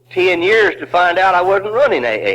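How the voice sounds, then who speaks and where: With an American accent, a man speaks at a high pitch and with ordinary pitch variation over noticeable background noise. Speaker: recovering alcoholic, twelve-step speaker. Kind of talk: recovery meeting talk. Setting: old cassette recording with hum. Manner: humorous.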